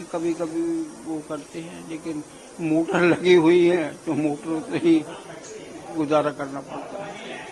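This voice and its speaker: Over crowd noise in the background, a man with a fairly high pitch speaks with fairly even intonation, big swings in loudness, and long, frequent pauses. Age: 80s+. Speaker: voter. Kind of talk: street interview.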